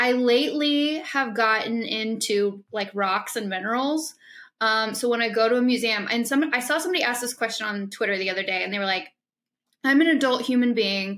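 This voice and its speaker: A woman with an American accent and an ordinary speaking voice, fairly high in pitch, with ordinary pitch variation and a fairly quick pace, on a very clean recording with a silent background. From Illinois. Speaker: podcast host. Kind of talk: casual chat.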